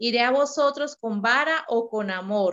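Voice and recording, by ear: Speaking at a fairly slow pace, a woman has a fairly high pitch, a fairly bright tone and ordinary pitch variation.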